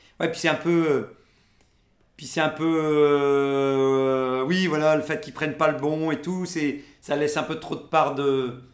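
Audible room echo surrounds a man's voice. He speaks at a very slow pace with fairly even intonation. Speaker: podcast host. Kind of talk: casual chat. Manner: halting, many filler words.

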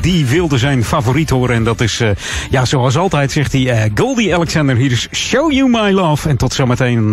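The speech shows very wide pitch swings over noticeable background noise. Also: man. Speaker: radio host. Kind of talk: radio dj patter. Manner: relaxed, chatty, with filler 'uh'.

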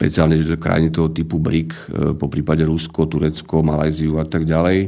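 At a moderate pace, a man with a very deep, low pitch and a dark, mellow tone speaks in a monotone, flat intonation. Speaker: macroeconomist. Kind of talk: radio interview. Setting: studio.

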